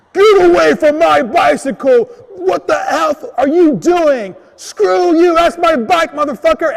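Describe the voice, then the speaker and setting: A man shouts in a put-on character voice. His pitch is extremely high and the pace fairly slow. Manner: angry, scary, shouting.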